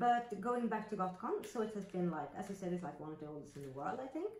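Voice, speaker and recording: The speaker talks at a moderate pace with a Swedish accent. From Sweden. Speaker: roleplay terrain crafter and video host. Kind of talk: casual chat.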